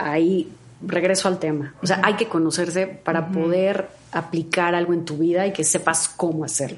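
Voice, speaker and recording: Over noticeable background noise, a woman speaks at a moderate pace in a fairly low pitch with monotone, flat intonation. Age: 40s. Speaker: health coach and vegan chef. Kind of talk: interview.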